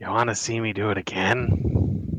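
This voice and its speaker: Pitched fairly low, a man's put-on character voice comes out raspy. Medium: actual play. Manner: fussy, eccentric.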